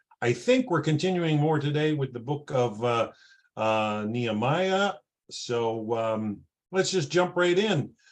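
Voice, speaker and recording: A man with a Canadian accent and a plain, everyday voice, fairly high pitch, lively intonation and a fairly slow pace. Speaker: class moderator. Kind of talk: introduction.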